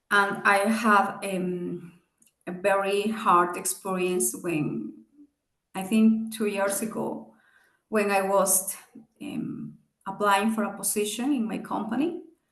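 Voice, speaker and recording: Heard with audible room echo, a woman at a medium pitch talks at a very slow pace, leaving long, frequent pauses. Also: ordinary pitch variation. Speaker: business executive and guest speaker. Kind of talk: seminar talk with Q&A. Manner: halting.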